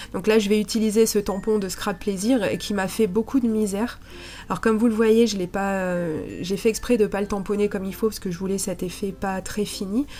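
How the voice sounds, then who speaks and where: Music plays in the background as a woman speaks. Her medium-pitched voice stays monotone and flat. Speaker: scrapbooking crafter. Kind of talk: tutorial voice-over narration.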